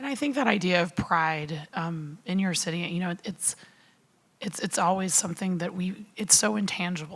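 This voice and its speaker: A somewhat breathy woman's voice with an American accent and ordinary pitch variation. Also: medium pitch for a woman, moderate pace. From United States. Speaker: panel moderator. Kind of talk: panel discussion. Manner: hesitant, many fillers.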